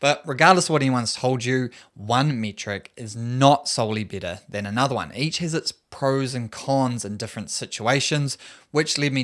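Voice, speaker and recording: Speech with a New Zealand accent moves at a moderate pace with ordinary pitch variation, in a very clean recording with a silent background. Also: man. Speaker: running coach. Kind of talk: tutorial.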